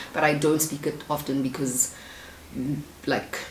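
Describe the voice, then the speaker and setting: A woman with a South African accent speaks in a very deep, low pitch over noticeable background noise. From South Africa, Soshanguve, Pretoria. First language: isiZulu. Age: 20s. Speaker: YouTuber. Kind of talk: casual Q&A vlog.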